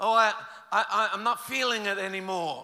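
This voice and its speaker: Raised and projected, a man's high-pitched voice with an Australian accent moves with ordinary pitch variation. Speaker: pastor. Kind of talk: sermon.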